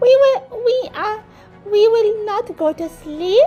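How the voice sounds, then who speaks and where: Over clear music in the background, a woman uses a put-on character voice at an extremely high pitch and a fairly slow pace. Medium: read story. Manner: excited, squawky exclamations.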